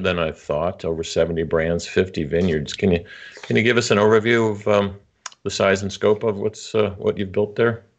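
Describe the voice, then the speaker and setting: A man with an American accent speaks at a moderate pace in a fairly low voice, with ordinary pitch variation. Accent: muddled, people think Nebraska. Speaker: podcast host. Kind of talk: interview.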